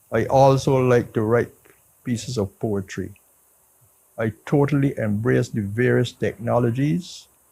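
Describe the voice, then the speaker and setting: Speaking at a fairly slow pace, a man has a somewhat breathy, dark, mellow tone, a medium pitch and ordinary pitch variation. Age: 80s+. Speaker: senior citizen reader. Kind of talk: testimonial.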